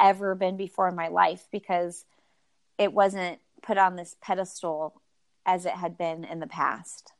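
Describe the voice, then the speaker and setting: A woman speaks in a plain, everyday voice at a fairly slow pace. The background is quiet. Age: 30s. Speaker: running podcast host and runner. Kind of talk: casual interview chat. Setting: remote call.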